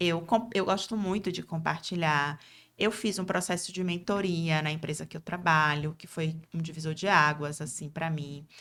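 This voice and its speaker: In a Bahian accent, a woman speaks at a fairly low pitch and a moderate pace with fairly even intonation and big swings in loudness, on a very clean recording with a silent background. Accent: Bahian (northeastern Brazilian) accent, kept. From Brazil, interior of Bahia. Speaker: lawyer and speaker. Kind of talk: interview.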